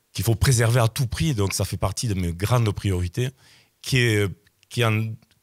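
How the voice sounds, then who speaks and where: In a very clean recording with a silent background and a dry, close sound free of echo, a man speaks at a moderate pace with a fairly low pitch and ordinary pitch variation. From southern France, Sète. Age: 60s. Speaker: local election candidate, general practitioner. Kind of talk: radio interview. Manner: hesitant, repeating words.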